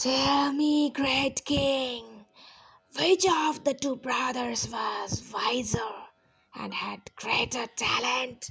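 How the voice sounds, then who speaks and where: Putting on a character voice, a female-sounding speaker drawls very slowly at a high pitch. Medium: read story. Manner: teasing, playful.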